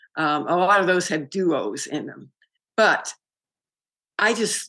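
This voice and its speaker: With an American accent, a woman speaks in an ordinary speaking voice, fairly low in pitch, at a fairly slow pace with lively intonation against a quiet background. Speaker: author and retired college teacher. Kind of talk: interview.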